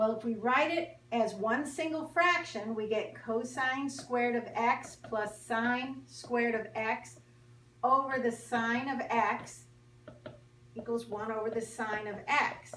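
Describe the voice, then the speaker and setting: Audible room echo surrounds a woman speaking at a very slow pace with fairly high pitch. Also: ordinary pitch variation. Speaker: math teacher. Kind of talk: tutorial. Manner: animated.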